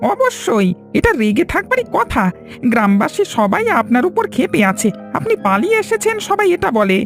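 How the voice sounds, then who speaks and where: Clear music plays in the background while a man does a cartoonish character voice at a moderate pace. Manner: brash, excitable.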